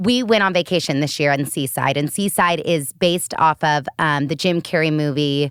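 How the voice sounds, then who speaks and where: With an American accent, a woman talks at a moderate pace and a very deep, low pitch in an animated tone with ordinary pitch variation and hardly any pauses, her voice dry and close with no echo on a very clean recording over a silent background. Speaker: podcast host. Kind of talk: reading guest introductions. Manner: halting when reading.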